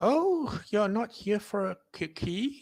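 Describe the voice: A put-on character voice comes across shaky and fairly high in pitch.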